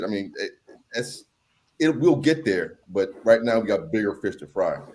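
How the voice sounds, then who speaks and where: An unremarkable speaking voice from a man, medium-pitched, at a fairly quick pace. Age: 40s. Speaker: political commentator guest. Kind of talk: casual panel discussion.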